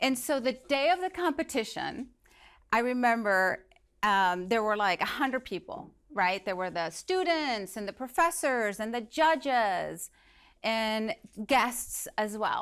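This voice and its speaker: In a Spanish accent, a woman speaks at a fairly slow pace with a fairly high pitch. Her pitch swings very widely, in a very clean recording with a silent background. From Venezuela. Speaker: motivational speaker. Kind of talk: inspirational talk.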